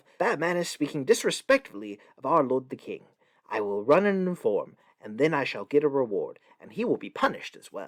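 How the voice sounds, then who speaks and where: A man's shrill, fairly high put-on character voice, with very wide pitch swings, big swings in loudness and a fairly quick pace. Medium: read story.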